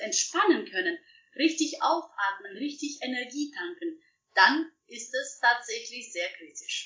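Speaking in a Russian accent, a woman talks. She keeps a fairly slow pace. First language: Russian (speaking German). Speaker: professional organizer. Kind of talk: interview. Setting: video call.

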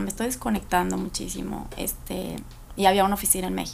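Her pitch sits in the medium range for a woman. She speaks at a very fast pace. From Guadalajara, Mexico. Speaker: lawyer and entrepreneur. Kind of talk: casual interview chat.

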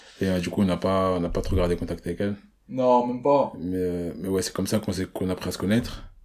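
A man speaks very fast in a very deep, low pitch. His tone is dark and mellow, with ordinary pitch variation. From Paris region, France. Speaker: podcast host. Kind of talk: casual chat.

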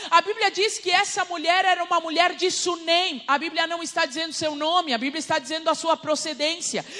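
A woman with an extremely high pitch speaks in a raised, projected, animated voice at a fairly quick pace with hardly any pauses and ordinary pitch variation, over noticeable background noise. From Uruguay, Rivera. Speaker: preacher. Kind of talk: sermon.

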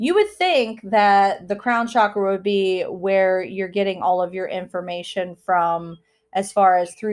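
A woman with an ordinary speaking voice talks at a fairly slow pace and medium pitch. Her pitch variation is ordinary, on a very clean recording with a silent background. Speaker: spirituality podcast host. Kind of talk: solo podcast monologue. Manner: casual, filler-heavy.

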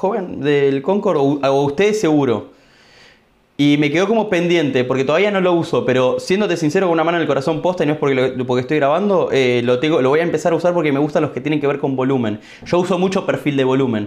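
The speech goes at a very fast pace with very even loudness and ordinary pitch variation. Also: man, fairly high pitch for a man. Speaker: podcast host, trader. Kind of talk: casual interview.

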